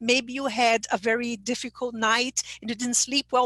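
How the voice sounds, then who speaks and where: At a moderate pace, a woman with a Brazilian Portuguese accent speaks in a high pitch. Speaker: English teacher trainer. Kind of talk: online conference presentation.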